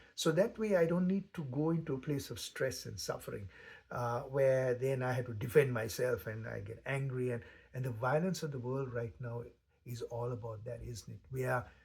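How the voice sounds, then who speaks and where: Somewhat breathy, a man of medium pitch speaks at a moderate pace with ordinary pitch variation. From Sri Lanka. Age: 60s. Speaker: meditation teacher. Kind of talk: spoken reflection. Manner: halting.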